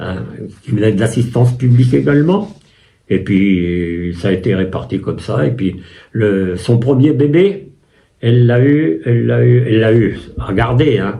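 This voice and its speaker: A man's somewhat breathy, medium-pitched voice carries lively intonation at a fairly slow pace, with long, frequent pauses and audible room echo. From France, Loiret (Chessy near Orléans). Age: 80s+. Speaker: war veteran. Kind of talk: interview testimony. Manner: halting, with many hesitations.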